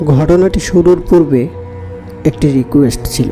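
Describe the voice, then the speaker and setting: Music plays in the background. Over it, a man speaks with lively intonation. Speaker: radio-style horror story host. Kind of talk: podcast host intro.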